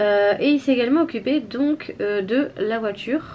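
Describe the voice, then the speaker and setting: Noticeable background noise beneath a voice with lively intonation. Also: woman. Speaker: family vlogger, mother. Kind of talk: casual vlog chat. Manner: hesitant, many fillers.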